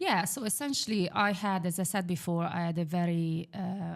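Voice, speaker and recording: A woman speaks at a fairly low pitch with an Italian accent. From Italy, Milan. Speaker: property investor. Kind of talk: podcast interview.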